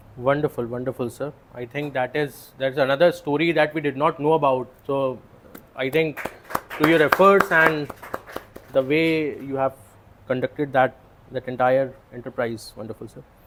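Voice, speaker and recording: With noticeable background noise, the speech moves at a moderate pace, broken by long, frequent pauses and big swings in loudness. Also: man. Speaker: moderator. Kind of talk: moderated interview. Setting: club meeting with audience.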